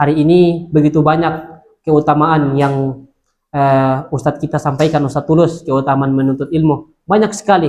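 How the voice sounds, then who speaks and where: A man speaks with a fairly high pitch. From Indonesia, Central Sulawesi (Luwuk Banggai). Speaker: Islamic preacher. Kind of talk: religious talk to students. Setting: Islamic boarding school gathering. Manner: hesitant, many filler sounds.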